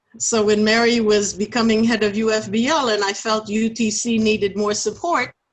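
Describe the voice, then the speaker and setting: A woman with a French accent speaks at a moderate pace in a fairly high pitch, with fairly even intonation, very even loudness and hardly any pauses. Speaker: minister and teacher. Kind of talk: interview.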